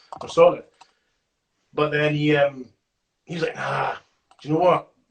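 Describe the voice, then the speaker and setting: A man with a Scottish accent speaks at a moderate pace in a fairly high, somewhat breathy voice. His intonation is fairly even, though his loudness swings widely. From Scotland. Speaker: rapper. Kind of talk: interview answer. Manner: casual, chatty.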